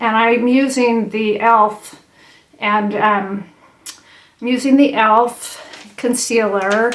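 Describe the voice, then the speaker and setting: A woman's fairly high voice, flat and monotone, at a very slow pace over noticeable background noise. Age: 60s. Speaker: makeup vlogger. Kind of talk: tutorial. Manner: halting, many fillers and restarts; casual, conversational.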